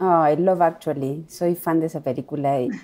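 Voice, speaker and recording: This woman's voice is very deep and low, with a dark, mellow tone. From Argentina. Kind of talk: interview.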